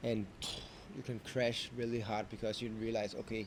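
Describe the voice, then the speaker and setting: A man at medium pitch and a moderate pace. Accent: Danish. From Denmark. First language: Danish. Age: 30s. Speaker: vlogger. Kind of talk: unscripted vlog monologue. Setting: talking to camera. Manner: halting, self-correcting.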